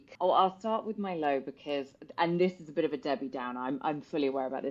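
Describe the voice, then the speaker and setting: Speaking with a British accent, this woman has a very deep voice. Her pitch is very low. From UK. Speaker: personal trainer. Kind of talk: podcast interview chat.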